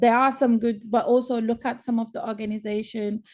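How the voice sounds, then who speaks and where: A woman's fairly high, dark and mellow voice at a moderate pace, in a monotone, flat intonation, over a quiet background. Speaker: activist. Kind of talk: panel discussion. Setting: webinar video call. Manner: hesitant, mumbling.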